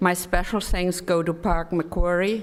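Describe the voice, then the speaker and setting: The speaker has a German accent. The delivery is fairly slow. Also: woman. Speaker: development cooperation expert. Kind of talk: conference presentation. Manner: halting.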